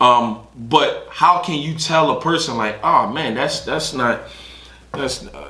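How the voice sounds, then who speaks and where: A man's very slow speech with big swings in loudness, amid noticeable background noise and audible room echo. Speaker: podcast co-host. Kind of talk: casual chat. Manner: halting, self-interrupting.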